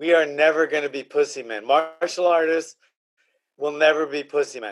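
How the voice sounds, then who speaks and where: Moderate-paced talk from a man whose pitch is fairly high. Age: 60s. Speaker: MMA coach and podcast host. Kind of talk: casual chat. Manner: animated.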